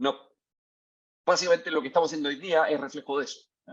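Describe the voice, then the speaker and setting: A man speaks in a fairly high pitch. He has a Chilean accent. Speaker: tech company CEO, mining engineer. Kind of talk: lecture. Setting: video call. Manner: hesitant, many fillers.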